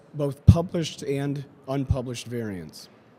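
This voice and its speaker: Dark and mellow in tone, a man speaks with ordinary pitch variation. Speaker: company founder and science officer giving a talk. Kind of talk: conference presentation. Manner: formal.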